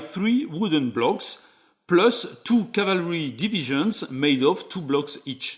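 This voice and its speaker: Speaking fairly slowly with a French accent, a man with a fairly high pitch and a bright, sharp tone makes very wide pitch swings. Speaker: board game reviewer. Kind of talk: tutorial.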